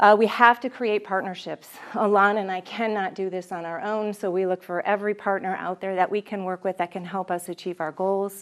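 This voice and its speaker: The delivery runs at a fairly quick pace with hardly any pauses. Intonation stays monotone and flat. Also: woman, medium pitch for a woman. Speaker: city economic development staffer. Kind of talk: presentation. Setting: evening class audience. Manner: fast.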